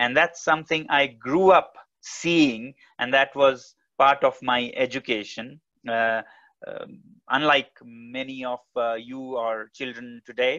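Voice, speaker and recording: Very slowly, a man speaks in a bright, sharp tone with fairly even intonation. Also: quiet background. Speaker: guest. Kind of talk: talk to an online audience. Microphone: earbuds.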